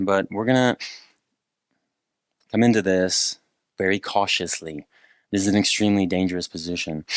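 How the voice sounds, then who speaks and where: A man speaks with a very deep, low pitch. The sound is dry and close with no echo, over a quiet background. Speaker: movement instructor. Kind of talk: tutorial.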